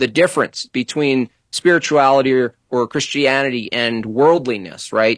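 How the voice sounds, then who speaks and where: In a normal speaking voice, a man talks at a moderate pace and medium pitch with ordinary pitch variation and hardly any pauses, in a dry, close sound with no echo. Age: 40s. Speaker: political cartoonist. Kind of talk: casual chat.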